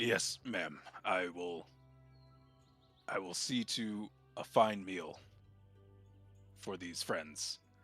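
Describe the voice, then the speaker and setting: In a put-on character voice, a man speaks raspy and very slowly at a very deep, low pitch, with long, frequent pauses and faint music in the background. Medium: actual play.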